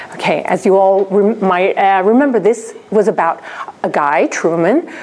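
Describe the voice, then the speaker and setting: A fairly slow delivery with noticeable noise in the background. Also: woman. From raised abroad in seven countries, Spanish. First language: Spanish (bilingual with English). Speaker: researcher and lecturer. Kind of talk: conference presentation. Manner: hesitant, many fillers.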